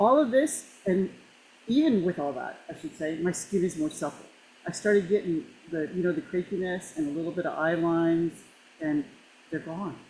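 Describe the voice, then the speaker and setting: Speaking at a moderate pace, a woman with a medium pitch and a somewhat breathy voice makes very wide pitch swings. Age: 60s. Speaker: product user giving testimony. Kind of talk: testimony. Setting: video call. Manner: animated.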